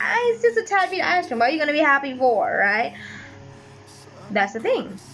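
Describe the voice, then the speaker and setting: A woman speaks with very wide pitch swings while music plays in the background. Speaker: YouTuber and voice actor. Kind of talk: casual late-night monologue.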